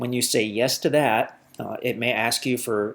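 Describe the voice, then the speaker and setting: A man's medium-pitched voice carries fairly even intonation. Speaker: land seller presenting property. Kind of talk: property tour narration over map. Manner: fast; many fillers and repetitions.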